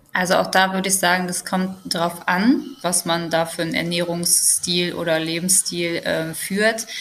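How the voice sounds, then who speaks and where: A woman's fairly low voice at a moderate pace, with fairly even intonation, hardly any pauses and noticeable background noise. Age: 20s. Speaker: social worker. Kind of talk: casual chat.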